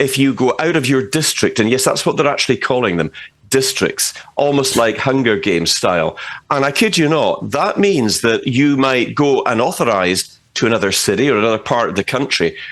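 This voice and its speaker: A man's medium-pitched voice with a Scottish accent, a fairly quick pace, lively intonation and vocal fry. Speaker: political commentator. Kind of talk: interview. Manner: animated.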